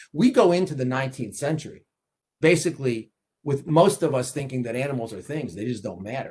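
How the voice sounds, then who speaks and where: In a New York accent, the speaker talks somewhat breathily at a fairly quick pace, with lively intonation and big swings in loudness. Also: man, fairly high pitch for a man. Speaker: law professor. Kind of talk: lecture. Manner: fast; repetitive, halting restarts.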